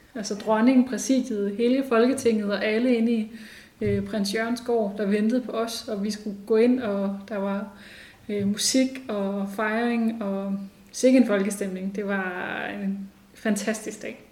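In a room with audible echo, a woman speaks very slowly at a fairly high pitch with monotone, flat intonation. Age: 30s. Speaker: women's rights organisation chair. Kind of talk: interview. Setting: organisation's office.

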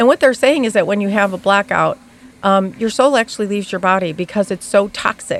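With ordinary pitch variation and a fairly quick pace, an unremarkable speaking voice is heard. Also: woman, medium pitch for a woman. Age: 60s. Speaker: guest sharing recovery story. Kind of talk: casual chat. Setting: studio.

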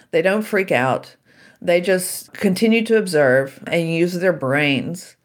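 A woman with a plain, everyday voice speaks in an American accent at a fairly slow pace and fairly low pitch, on a very clean recording with a silent background. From US South, Shreveport, Louisiana. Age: 60s. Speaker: author and keynote speaker. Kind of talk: interview.

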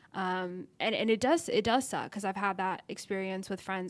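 A woman talks at a moderate pace with an American accent and a medium pitch. Hers is a plain, everyday voice. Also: very clean recording, silent background. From Texas, Dallas. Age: 20s. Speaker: content creator, YouTuber. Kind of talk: casual interview chat.

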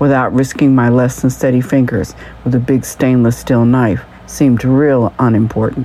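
A woman speaks at a moderate pace in a very deep, low voice, with noticeable background noise behind her. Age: 60s. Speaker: humor podcaster and journalist. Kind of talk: scripted monologue.

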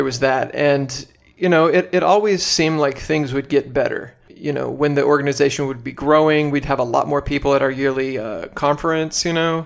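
A man with an American accent speaks at a fairly quick pace and a fairly high pitch. It's an ordinary speaking voice with fairly even intonation. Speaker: podcaster, former socialist activist. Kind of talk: casual interview chat.

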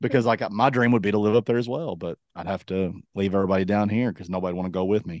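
Against a quiet background, a man with a Southern US accent talks at a very fast pace with a fairly low pitch, ordinary pitch variation and hardly any pauses. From Kentucky. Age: 40s. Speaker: podcast co-host. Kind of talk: casual chat. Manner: animated.

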